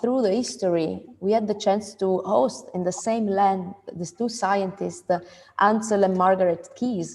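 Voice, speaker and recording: A woman's medium-pitched voice with an Italian accent, a fairly slow pace and ordinary pitch variation. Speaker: event moderator, food institute founder. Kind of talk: panel discussion.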